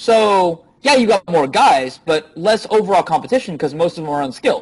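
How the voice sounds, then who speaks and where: A man is speaking. His voice is loud. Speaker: dating coach. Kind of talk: interview.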